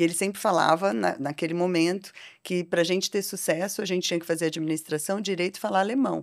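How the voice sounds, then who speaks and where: Against a quiet background, a woman with a fairly low pitch talks at a very fast pace. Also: ordinary pitch variation. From Brazil, Londrina (Paraná). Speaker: technology executive and board advisor. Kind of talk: podcast interview. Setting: studio. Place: studio. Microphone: studio mic.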